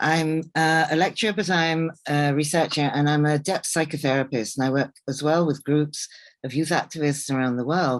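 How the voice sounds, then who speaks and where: Hardly any pauses against a quiet background. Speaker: psychotherapist and researcher. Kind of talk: lecture. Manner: fast.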